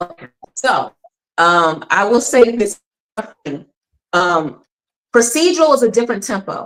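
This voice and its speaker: A woman with a Philadelphia accent, fairly high in pitch, with an animated tone, very wide pitch swings and long, frequent pauses. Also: fairly slow pace. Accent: northern US accent, Philadelphia. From Philadelphia, US Northeast. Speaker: actor. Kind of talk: interview.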